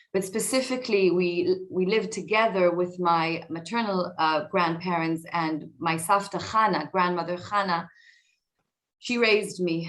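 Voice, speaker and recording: A woman with an Israeli accent speaks at a fairly slow pace, her fairly low pitch showing ordinary variation. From Israel (north Tel Aviv). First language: Hebrew. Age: 40s. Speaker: tech executive and author. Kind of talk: talk to an audience. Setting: video call. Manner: hesitant, many fillers.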